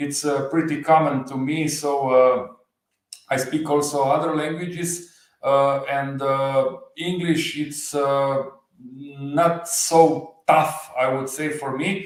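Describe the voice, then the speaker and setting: A man talks at a fairly high pitch with a slight Slovenian accent. His delivery is very slow and monotone, with flat intonation. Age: 40s. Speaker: motorcycle channel creator. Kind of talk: livestream interview. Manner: halting, many fillers.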